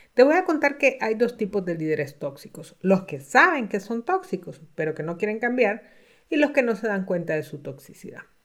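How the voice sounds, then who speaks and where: In a very clean recording with a silent background, a woman with a fairly high pitch speaks at a moderate pace with very wide pitch swings. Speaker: executive coach and podcast host. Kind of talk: solo podcast talk.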